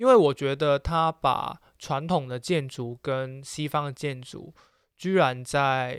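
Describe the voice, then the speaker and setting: A man speaks at a very slow pace, his pitch fairly high and his intonation fairly even, with big swings in loudness. The sound is dry and close with no echo, on a very clean recording with a silent background. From Macau. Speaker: podcast co-host. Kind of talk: casual chat.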